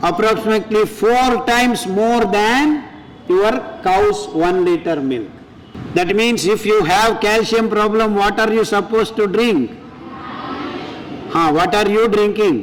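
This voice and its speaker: An animated man speaks with high pitch, ordinary pitch variation, very even loudness, a fairly slow pace and long, frequent pauses. The recording has audible room echo and noticeable background noise. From Andhra Pradesh, India (Kadapa). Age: 60s. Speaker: food scientist and millet advocate. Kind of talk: health talk to audience. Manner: animated, rhetorical questions.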